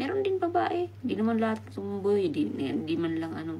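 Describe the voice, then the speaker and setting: Soft-spoken, a woman talks at a fairly quick pace with audible room echo. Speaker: livestreamer. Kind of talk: live stream chat.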